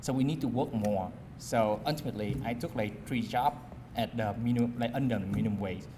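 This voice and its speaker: Audible room echo surrounds a man talking at medium pitch and a moderate pace with ordinary pitch variation. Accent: Vietnamese. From Vietnam. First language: Vietnamese. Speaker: community college alumnus speaker. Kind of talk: personal testimony speech. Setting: alumni dinner event with audience. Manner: halting, many fillers.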